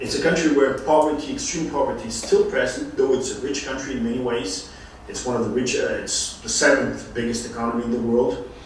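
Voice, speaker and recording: Audible room echo plus noticeable background noise. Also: man, fairly quick pace. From Brazil. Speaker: law professor. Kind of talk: lecture. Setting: online lecture from abroad. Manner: halting, many fillers.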